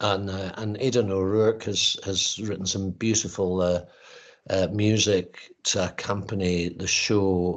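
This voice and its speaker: Against a quiet background, a man with a Highland Scottish accent speaks fairly slowly in a fairly low, monotone, flat voice. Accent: Highland Scottish twang. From Scottish Highlands, north of Inverness. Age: old. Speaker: actor and playwright. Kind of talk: interview. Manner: halting, many fillers.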